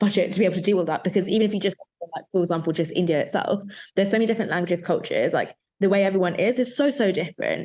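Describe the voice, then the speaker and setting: A woman speaks very fast in a London accent. Her pitch varies in an ordinary way. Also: medium pitch for a woman. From London, England. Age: young. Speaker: photographer. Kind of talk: casual chat.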